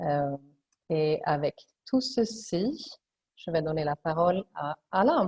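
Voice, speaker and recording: In a Swedish accent, a woman speaks at a very slow pace with a somewhat breathy, fairly low voice and lively intonation. The recording is dry and close, with no echo. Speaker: webinar moderator. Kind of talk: webinar moderation.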